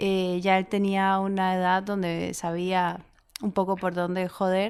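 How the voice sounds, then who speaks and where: A woman speaks with a Costa Rican accent. Her pitch is medium. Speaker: writer and actress. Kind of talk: interview conversation.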